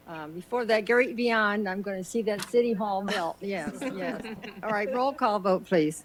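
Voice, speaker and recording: A woman speaks at a moderate pace and medium pitch, with ordinary pitch variation and noticeable background noise. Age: 80s+. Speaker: mayor. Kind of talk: council meeting remarks.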